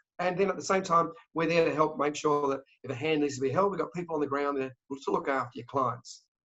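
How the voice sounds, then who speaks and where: A man with an Australian accent, very fast pace, fairly high pitch, and ordinary pitch variation. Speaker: travel company sales director. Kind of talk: interview. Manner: animated.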